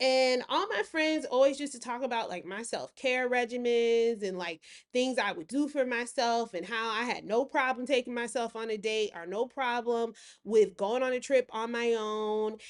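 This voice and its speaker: With an American accent, a woman speaks at a high pitch and a moderate pace. Her pitch varies in an ordinary way over a quiet background. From US South. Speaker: lifestyle and self-care vlogger. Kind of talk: casual vlog monologue.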